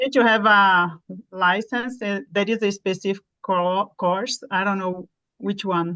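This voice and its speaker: The voice has a bright, sharp tone and a Portuguese accent. It moves at a fairly slow pace with fairly even intonation. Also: woman, medium pitch for a woman. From Brazil. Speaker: nurse, ESOL student. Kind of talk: online Q&A session.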